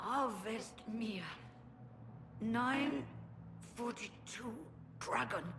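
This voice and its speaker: A woman's put-on character voice, fairly high in pitch, at a very slow pace with long, frequent pauses, over clear background noise. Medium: video game. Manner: urgent, grave.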